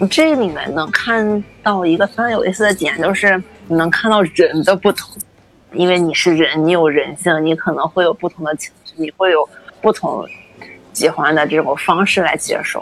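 Against noticeable background noise, a woman speaks in a fairly low pitch with ordinary pitch variation. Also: moderate pace. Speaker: food science graduate student. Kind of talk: interview conversation.

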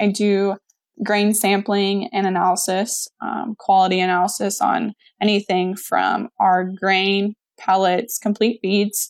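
A woman's monotone, flat delivery with an American accent at a fairly slow pace. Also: medium pitch for a woman. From Missouri, US Midwest. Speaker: feed mill coordinator. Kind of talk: interview.

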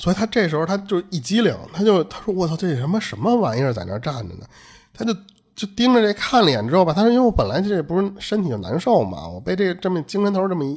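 A man speaks at a very fast pace. His pitch is high and his intonation lively. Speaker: podcast host. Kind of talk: casual chat, storytelling. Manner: casual, colloquial, Northern Mandarin speech.

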